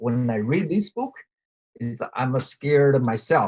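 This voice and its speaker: Speaking very slowly with a Chinese accent, a man with a medium pitch sounds somewhat breathy, his intonation lively and the sound dry and close with no echo. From China. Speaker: podcast co-host. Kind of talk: casual chat. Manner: halting.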